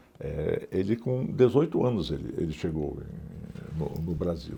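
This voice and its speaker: Very deep and low in pitch, a man speaks at a fairly slow pace with very wide pitch swings. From northern Brazil, Pará (Alenquer). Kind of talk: oral history interview. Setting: museum interview. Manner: halting, many fillers and repetitions.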